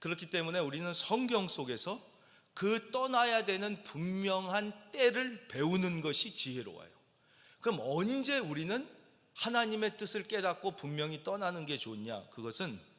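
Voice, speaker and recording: A man's bright, sharp voice sits at a high pitch, with very wide pitch swings at a fairly slow pace. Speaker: senior pastor. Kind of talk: Sunday sermon preaching.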